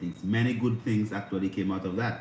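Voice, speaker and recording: Speaking at a moderate pace, a man is heard. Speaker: spiritual livestream host. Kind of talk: livestream spiritual talk. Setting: livestream on instagram and youtube. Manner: speaking low.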